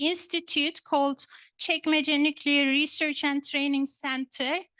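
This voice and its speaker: A woman's raised, projected voice with a Turkish accent, high-pitched and bright and sharp in tone, dry and close with no echo over a quiet background. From Turkey, Istanbul. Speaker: professor. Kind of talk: lecture. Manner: hesitant, many fillers.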